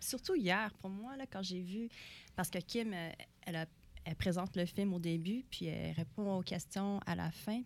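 Using a normal speaking voice, a woman talks at a fairly slow pace with medium pitch and ordinary pitch variation. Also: very clean recording, silent background. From Montreal, Quebec. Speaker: actress. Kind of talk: interview.

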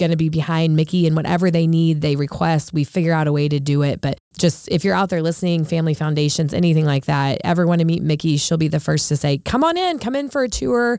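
Quickening to a fairly quick pace, a woman speaks with a very deep, low pitch, a dark, mellow tone and ordinary pitch variation. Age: 30s. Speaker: auditor and nonprofit board member. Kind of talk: casual chat. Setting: studio.

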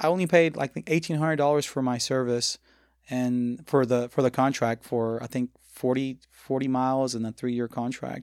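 In a Spanish accent, a man talks at a moderate pace and medium pitch with fairly even intonation, the sound dry and close with no echo. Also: very clean recording, silent background. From Mexico, Tabasco. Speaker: restaurant owner. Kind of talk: casual interview chat.

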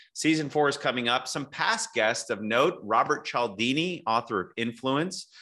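An ordinary speaking voice from a man at medium pitch and moderate pace. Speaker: podcast host. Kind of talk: interview, conversational.

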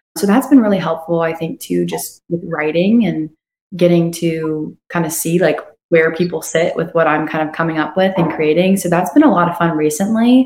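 This is a woman with an unremarkable speaking voice. Her pitch is fairly low. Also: ordinary pitch variation. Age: young. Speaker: singer-songwriter. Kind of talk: casual interview chat. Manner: fast, run-on.

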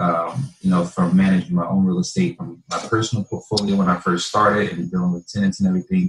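Talking at a fairly quick pace with an American accent, a man uses ordinary pitch variation. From northern New Jersey. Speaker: real estate investor. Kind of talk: interview.

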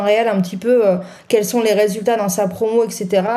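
A woman speaks at a moderate pace with a fairly high pitch. Her tone is dark and mellow, and her intonation stays monotone and flat. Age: 40s. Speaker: music press officer. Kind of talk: casual panel discussion.

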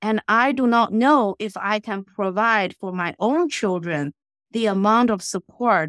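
A woman speaks with a Chinese accent at a medium pitch, using ordinary pitch variation. The recording is very clean with a silent background and a dry, close sound with no echo. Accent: Mandarin Chinese. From China. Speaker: financial advisor. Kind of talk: casual interview. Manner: bubbly.

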